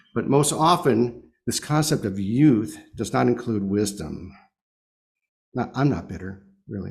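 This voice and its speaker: A man speaks at a medium pitch with lively intonation and a somewhat breathy voice. His pace is fairly slow with long, frequent pauses, and audible room echo surrounds him. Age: 70s. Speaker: lay speaker at congregation service. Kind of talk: sermon.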